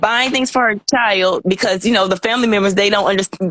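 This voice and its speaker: Here a woman has a plain, everyday voice, pitched at a medium level. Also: dry, close sound with no echo. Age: 30s. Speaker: guest describing a past relationship. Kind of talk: casual chat.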